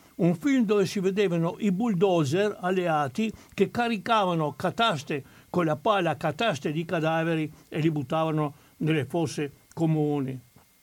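A man speaks in a high voice. The pitch moves with ordinary variation. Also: moderate pace. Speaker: historian of the resistance. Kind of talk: historical talk. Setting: studio.

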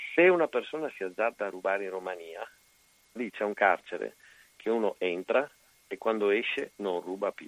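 A man speaks at a moderate pace with long, frequent pauses and big swings in loudness, the sound dry and close with no echo. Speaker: caller. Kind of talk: casual chat.

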